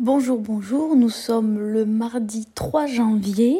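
A woman speaks at a very slow pace in a fairly high, somewhat breathy voice. Her tone is dark and mellow. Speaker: book podcaster. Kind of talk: reading vlog, casual monologue.

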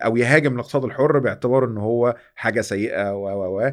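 An unremarkable speaking voice belongs to a man who talks at a fairly quick pace with ordinary pitch variation. The recording is very clean with a silent background. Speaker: podcast host. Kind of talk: interview.

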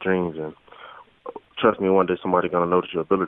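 This man has a very deep, low pitch and speaks with a Southern US accent. His intonation is monotone and flat. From US South, rural Florida. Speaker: college football player. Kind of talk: phone interview.

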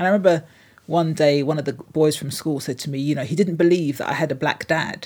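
In a London accent, a woman speaks with a very deep, low pitch and ordinary pitch variation on a very clean recording with a silent background. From London (Hornsey). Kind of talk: interview.

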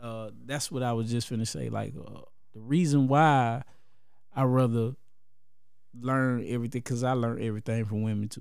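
Speaking at a moderate pace, a man with a medium-pitched voice and fairly even intonation leaves long, frequent pauses, and audible room echo surrounds him. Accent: American. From Columbus, Georgia. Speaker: rapper. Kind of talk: casual chat.

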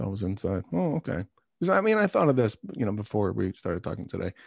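A man with an American accent speaks at a fairly low pitch with vocal fry and lively intonation, in a very clean recording with a silent background and a dry, close sound with no echo. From Long Island, New York. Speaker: podcast host. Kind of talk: casual interview.

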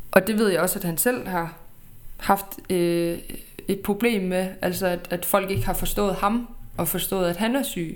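With a normal speaking voice, a woman talks at a fairly slow pace and a medium pitch, using ordinary pitch variation. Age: 20s. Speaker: podcast host. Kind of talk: personal storytelling.

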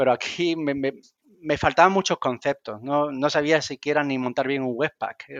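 At a fairly quick pace, a man speaks with ordinary pitch variation, the sound dry and close with no echo and the background quiet. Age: 40s. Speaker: software developer. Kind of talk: casual chat. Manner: halting, repeats words.

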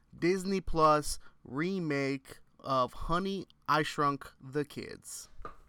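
This is a man with a fairly high pitch. His tone is bright and sharp. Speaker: podcast co-host. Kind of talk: casual chat.

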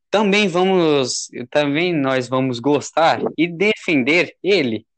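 Against a quiet background, a man talks with lively intonation at a fairly high pitch. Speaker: amateur podcast host. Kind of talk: casual chat. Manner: loud.

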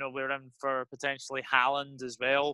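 A man with a Scottish accent speaks at a moderate pace in a bright, sharp tone. The background is quiet and the sound is dry and close with no echo. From Scotland. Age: 20s. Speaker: football YouTuber. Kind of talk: casual chat.

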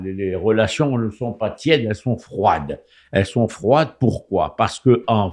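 Over a quiet background, a man talks at medium pitch with ordinary pitch variation. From Morocco, Rabat. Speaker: political commentator. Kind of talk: radio talk show. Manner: halting.

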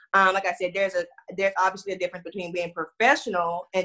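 A woman with an American accent speaks in a bright, sharp tone at a fairly low pitch with monotone, flat intonation. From Houston, Texas. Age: 20s.

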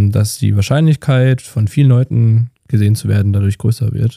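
A man speaks at a moderate pace in a fairly low, dark, mellow and somewhat breathy voice with ordinary pitch variation, the sound dry and close with no echo. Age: 20s. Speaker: videographer. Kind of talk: casual chat.

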